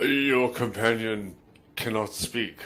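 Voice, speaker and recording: A man's put-on character voice, medium in pitch, with fairly even intonation. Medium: actual play. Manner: formal, stilted.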